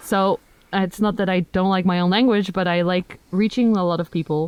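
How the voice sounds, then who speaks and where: In a Dutch accent, a woman talks at a fairly quick pace with a medium pitch, very even loudness and fairly even intonation. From Netherlands. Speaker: plant content creator. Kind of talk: casual chat.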